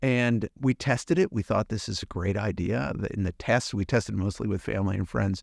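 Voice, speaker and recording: A man's fairly low voice with vocal fry and ordinary pitch variation, fairly quick with hardly any pauses, in a dry, close sound with no echo. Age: 60s. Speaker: podcast host and business owner, guest. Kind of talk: interview conversation.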